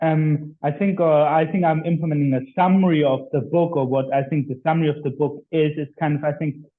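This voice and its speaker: Speaking at a fairly quick pace, a man with a German accent has a fairly high pitch. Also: fairly even intonation. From Germany. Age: 20s. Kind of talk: interview.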